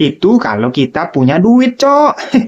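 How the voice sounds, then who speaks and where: This woman's voice swings very widely in pitch. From Minangkabau, West Sumatra. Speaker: stand-up comedian. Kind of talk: stand-up comedy. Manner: animated, punchy joke delivery with setup and punchline; casual slangy Jakarta-style speech, repeatedly addressing audience as 'cok'. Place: home room. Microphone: handheld.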